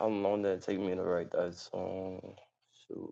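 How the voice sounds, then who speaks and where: A man speaks with an American accent and a dark, mellow tone. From New York. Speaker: rapper. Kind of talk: interview.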